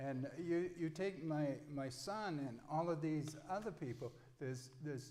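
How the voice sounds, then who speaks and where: A fairly slow voice in an American accent, with ordinary pitch variation, audible room echo and noticeable background noise. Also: man. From Mid-Coast Maine, US. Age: 60s. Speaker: political candidate. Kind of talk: candidate forum statement.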